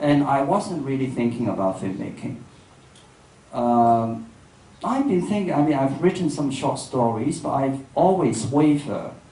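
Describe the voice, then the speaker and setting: Amid noticeable background noise and audible room echo, a man with a Cantonese accent speaks at a fairly slow pace with a fairly high pitch. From Hong Kong. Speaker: filmmaker and writer. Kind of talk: public dialogue. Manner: halting.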